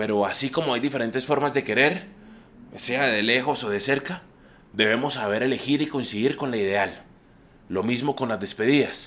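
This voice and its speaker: This is a man with an ordinary speaking voice at a medium pitch. He talks at a moderate pace with ordinary pitch variation. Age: 30s. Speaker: traveling painter sharing reflections. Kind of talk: scripted personal monologue. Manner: reflective.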